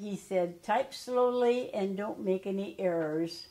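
A woman with a Midwestern American accent speaks at a fairly slow pace amid audible room echo. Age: 80s+. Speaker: retired high school alumna; interviewee. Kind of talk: interview answer. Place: home room.

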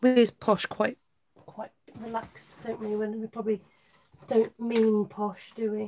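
The speaker has a slight West Country accent, with light background noise in the recording. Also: woman. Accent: slight Wiltshire twang on some words. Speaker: craft demonstrator. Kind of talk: live craft tutorial. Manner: casual, chatty.

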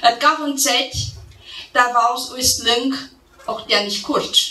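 In a Transylvanian accent, a woman with a high pitch speaks at a very slow pace, with audible room echo and light background noise. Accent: Transylvanian Saxon dialect. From Transylvania, Romania. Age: 40s. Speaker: poet, storyteller. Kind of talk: dialect poetry reading. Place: hall. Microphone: podium.

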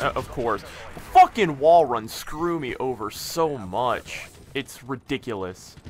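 A man speaks at a medium pitch with lively intonation and a very slow pace over noticeable background noise. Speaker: gaming commentator. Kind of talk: angry gaming rant, profanity-laden commentary. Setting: gameplay commentary recorded over video game. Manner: loud, exasperated, sweary, ranting.

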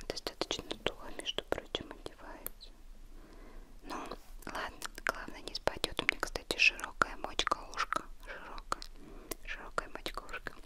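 The speaker whispers, soft-spoken, at a moderate pace. Long, frequent pauses break up the speech. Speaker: unboxing vlogger. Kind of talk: casual vlog chat. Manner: soft ASMR whisper. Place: home room.

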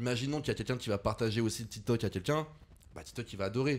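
Talking very fast, a man keeps his intonation fairly even. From France, Lyon. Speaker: content creator. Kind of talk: casual chat.

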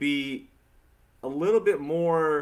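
Ordinary pitch variation from a male speaker. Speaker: podcast host. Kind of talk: casual podcast conversation. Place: home room. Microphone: studio mic.

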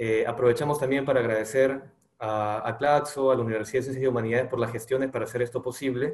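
A man talks at a very fast pace in a somewhat breathy voice with fairly even intonation, and the room echo is audible against a quiet background. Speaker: presenter. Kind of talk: formal presentation speech. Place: home room. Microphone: webcam.

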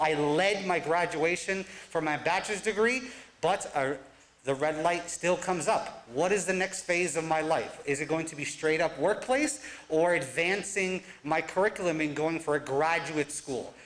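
This man talks with an American accent, using a high pitch and ordinary pitch variation. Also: moderate pace. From New Jersey, US (Newark); New Jersey. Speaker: college advisor and professor; professor. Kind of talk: live talk presentation. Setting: stage with audience. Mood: reflective, earnest. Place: stage.

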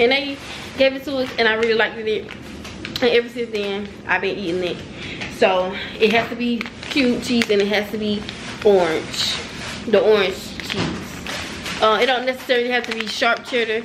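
Over noticeable background noise, a woman talks at a moderate pace with fairly even intonation and long, frequent pauses. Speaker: vlogger. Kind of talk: casual vlog chat. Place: home room. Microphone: phone near.

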